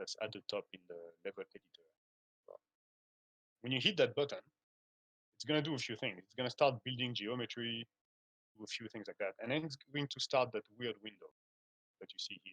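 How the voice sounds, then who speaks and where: Recorded with a dry, close sound and no echo, the speech moves at a fairly quick pace. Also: man. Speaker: game engine instructor. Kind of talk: lecture. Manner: fast.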